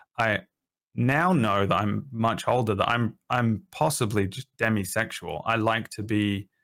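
On a very clean recording with a silent background, a man with a fairly low pitch and ordinary pitch variation speaks at a moderate pace. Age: 30s. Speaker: streamer. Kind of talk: casual chat. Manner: halting.

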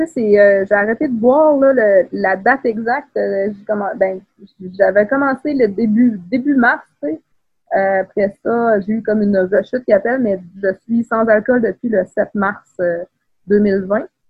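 Somewhat breathy, a woman speaks at a fairly high pitch and a very slow pace. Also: ordinary pitch variation. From Quebec City, Quebec (Beauport). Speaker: writer. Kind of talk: casual interview.

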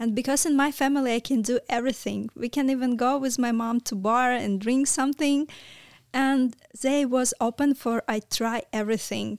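A woman's high voice in a Ukrainian accent, with fairly even intonation and very even loudness, on a very clean recording with a silent background and a dry, close sound with no echo. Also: moderate pace. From Ukraine. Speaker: charity worker, refugee. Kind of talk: casual interview, personal story. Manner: halting, non-fluent English.

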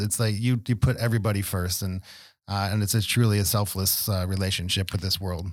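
In a normal speaking voice, a man with a fairly low pitch and ordinary pitch variation talks at a fairly quick pace in a very clean recording with a silent background. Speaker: podcast host and health practitioner. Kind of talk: interview.

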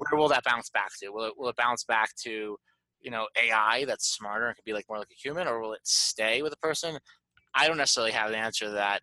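A man's very fast speech in a bright, sharp tone, ordinary pitch variation and big swings in loudness. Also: medium pitch for a man, dry, close sound with no echo. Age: 30s. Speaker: sales podcast host. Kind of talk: casual interview.

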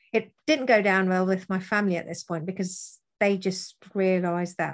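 A woman speaks in a normal speaking voice at a medium pitch against a quiet background. Her pace is moderate and her intonation fairly even. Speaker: widow. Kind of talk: interview testimony.

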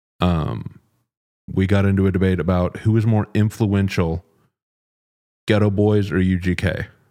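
An American accent in a dark, mellow tone at a moderate pace, with fairly even intonation, long, frequent pauses, very even loudness, and a very clean recording with a silent background. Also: man, very deep, low pitch for a man. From Texas, Dallas. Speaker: podcast host. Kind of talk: interview.

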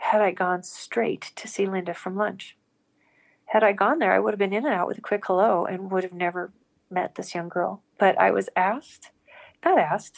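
A woman's plain, everyday voice, medium in pitch, at a moderate pace against a quiet background. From US, Montana (rural). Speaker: spiritual storyteller, former corporate businesswoman. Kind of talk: personal testimony in interview.

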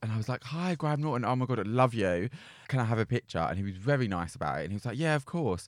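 In a dry, close recording with no echo, a man with a medium-pitched voice talks at a very fast pace. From South London. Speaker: podcast co-host. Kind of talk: casual chat. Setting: studio.

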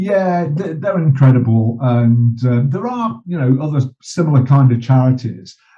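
A somewhat breathy man's voice of medium pitch, with lively intonation and a fairly slow pace. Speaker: journalist and bereaved father, campaigner. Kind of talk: interview conversation.

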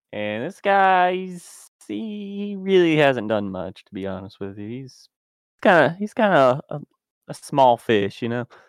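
Swinging very widely in pitch around a medium level, a man speaks at a fairly slow pace in a dry, close sound with no echo. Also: big swings in loudness. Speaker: game club panelist. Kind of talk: casual chat.

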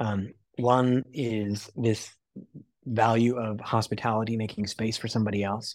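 A plain, everyday voice belongs to a man with an American accent, speaking at a medium pitch with fairly even intonation in a very clean recording with a silent background. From United States. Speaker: missionary and cafe owner. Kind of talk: interview.

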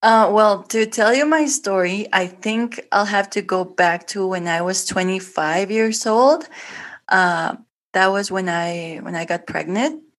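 A woman with a Spanish accent speaks at a very slow pace, her medium pitch showing ordinary variation against a quiet background. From Guatemala. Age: 30s. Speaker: artist and former administrator. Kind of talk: interview. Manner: halting.

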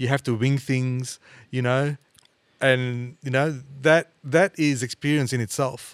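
In an Australian accent, a man of medium pitch talks at a fairly slow pace with fairly even intonation in a dry, close sound with no echo. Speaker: podcast host, music teacher. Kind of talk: casual interview.

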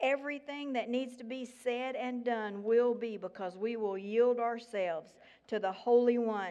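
A woman with a Southern US accent, fairly high in pitch, with ordinary pitch variation. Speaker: guest speaker at church. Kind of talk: sermon / testimony. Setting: church with congregation.

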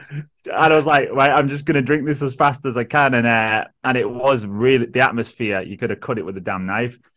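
A man with a northern English accent at a fairly quick pace, hardly any pauses. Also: medium pitch for a man, ordinary pitch variation. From northern England, Manchester area. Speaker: social worker and podcaster. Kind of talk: casual interview chat.

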